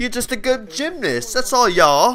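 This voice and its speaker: A man projects his voice in a Welsh accent. His tone is bright and sharp, with very wide pitch swings. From South Wales. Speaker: gaming guest commentator. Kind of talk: casual gameplay commentary. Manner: animated.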